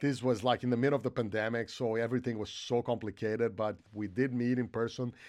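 On a very clean recording with a silent background, a man with a Portuguese accent talks at a very fast pace in a monotone, flat intonation. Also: medium pitch for a man. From Brazil. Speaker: film composer. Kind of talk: interview.

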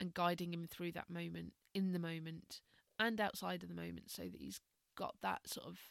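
A woman talks at a moderate pace, the sound dry and close with no echo. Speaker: meditation and mindfulness teacher. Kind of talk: casual podcast monologue. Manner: calm; hesitant, many fillers.

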